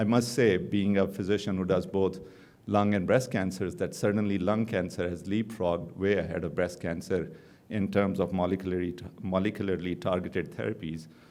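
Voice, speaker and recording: Audible room echo surrounds a man with a non-native accent and a very deep, low pitch. He talks at a fairly quick pace with fairly even intonation. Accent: foreign accent, noticeable. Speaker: oncologist. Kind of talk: conference lecture. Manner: fast.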